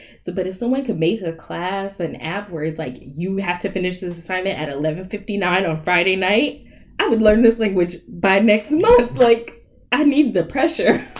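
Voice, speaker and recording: A woman with a slight Southern US accent, medium in pitch, at a moderate pace with lively intonation. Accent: slight Southern twang. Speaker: podcast guest. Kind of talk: casual chat.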